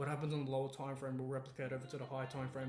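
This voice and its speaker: A man's voice carries audible room echo. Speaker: forex trading educator. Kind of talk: tutorial. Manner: fast; unscripted, casual.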